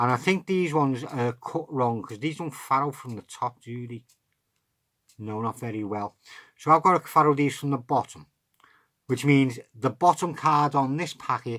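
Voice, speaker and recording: A very clean recording with a silent background captures a voice with an English accent. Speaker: card magic tutor. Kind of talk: tutorial.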